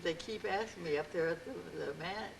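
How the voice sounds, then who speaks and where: Here a woman speaks at a fairly low pitch. Noticeable background noise can be heard. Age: 80s+. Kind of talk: interview answer.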